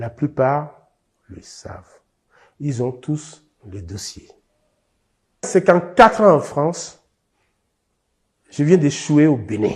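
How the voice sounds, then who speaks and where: A somewhat breathy man talks very slowly in a fairly high pitch, with very wide pitch swings, big swings in loudness and long, frequent pauses. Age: 70s. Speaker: expropriated landowner. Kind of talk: testimony.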